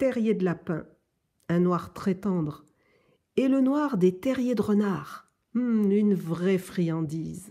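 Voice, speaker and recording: A soft-spoken woman's very slow voice, dark and mellow with a gentle, warm tone, lively intonation and very even loudness, over a quiet background. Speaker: adult reading a children's book aloud. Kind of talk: children's story audiobook, reading a picture book aloud. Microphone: phone near.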